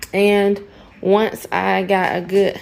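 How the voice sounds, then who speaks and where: Southern US accent from a woman speaker. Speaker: homesteading vlogger. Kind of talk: casual vlog. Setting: at home at night. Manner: loud.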